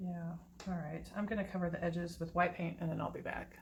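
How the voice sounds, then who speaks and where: A woman's somewhat breathy voice at medium pitch, in a monotone, flat intonation. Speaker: acrylic pour painting hobbyist youtuber. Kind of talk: tutorial. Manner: casual, chatty; mumbling.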